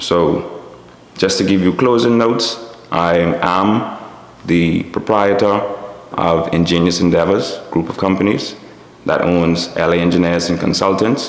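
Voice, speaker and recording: With a Bahamian accent, a man speaks in a very deep, low pitch at a fairly slow pace, his loudness very even and his intonation fairly even, broken by long, frequent pauses amid noticeable background noise and audible room echo. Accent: Bahamian dialect, Abaco island, stands out. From Bahamas, Little Abaco. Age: 30s. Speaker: business owner and engineer. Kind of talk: interview monologue.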